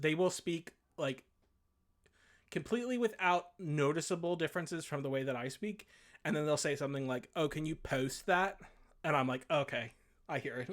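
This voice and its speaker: In a very clean recording with a silent background, a man with a fairly high pitch speaks at a moderate pace with ordinary pitch variation. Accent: American. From Delaware, US Mid-Atlantic. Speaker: video game site editor and streamer. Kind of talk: casual chat. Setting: live stream. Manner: halting, many fillers and restarts.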